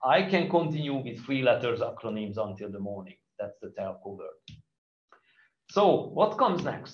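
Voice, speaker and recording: With a Hungarian accent, a man speaks at a moderate pace in a fairly high pitch with vocal fry, his pitch swinging very widely and his loudness rising and falling sharply. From Hungary. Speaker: conference speaker. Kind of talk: conference talk.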